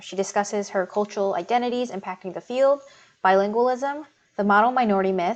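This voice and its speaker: A woman speaks at a medium pitch with ordinary pitch variation. She has a normal speaking voice. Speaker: community co-admin. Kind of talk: podcast intro.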